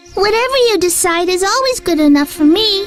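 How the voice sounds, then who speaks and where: A woman does a squeaky, put-on character voice at an extremely high pitch and fairly quick pace. Clear music plays in the background. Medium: machinima.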